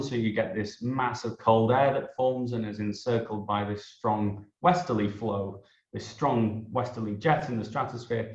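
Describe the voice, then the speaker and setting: A man with an English accent talks at a moderate pace and medium pitch. His pitch varies normally, and the room echo is audible. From northern England. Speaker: meteorology researcher. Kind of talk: interview, scientific explanation.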